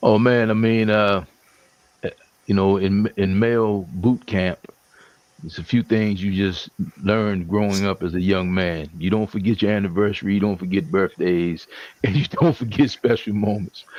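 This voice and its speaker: This man has an unremarkable speaking voice, fairly low in pitch with ordinary pitch variation, and he speaks at a moderate pace. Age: 60s. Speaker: panelist. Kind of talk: casual chat.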